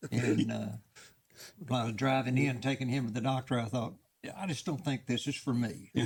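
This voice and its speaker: A man with a Texan accent and medium pitch speaks at a fairly quick pace, somewhat breathy. His pitch variation is ordinary, and he takes long, frequent pauses. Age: 80s. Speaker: veteran fast draw shooter. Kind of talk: casual interview chat.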